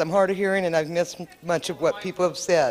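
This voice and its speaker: Over noticeable background noise, a woman at medium pitch talks at a very fast pace in a monotone, flat intonation. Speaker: member of the public. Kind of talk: public meeting comment. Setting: public meeting with microphone. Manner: loud.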